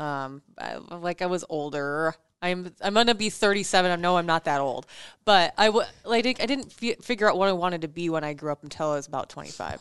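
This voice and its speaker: Against a quiet background, a woman with an American accent and an unremarkable speaking voice speaks at a fairly low pitch with lively intonation. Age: 30s. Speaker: podcast co-host, former radio producer. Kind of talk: casual chat.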